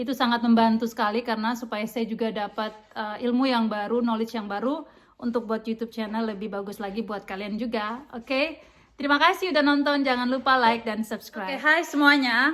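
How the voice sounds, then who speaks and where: Hardly pausing at all, a woman speaks at a fairly quick pace in a fairly high pitch with ordinary pitch variation. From Indonesia, East Nusa Tenggara (NTT). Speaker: vlogger. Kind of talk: vlog intro to camera. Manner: halting, many fillers.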